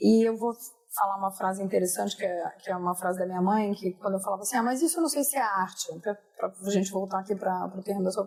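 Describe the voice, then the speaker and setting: A woman speaks at a very fast pace with medium pitch and ordinary pitch variation. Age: 50s. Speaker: podcast host. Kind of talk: casual chat.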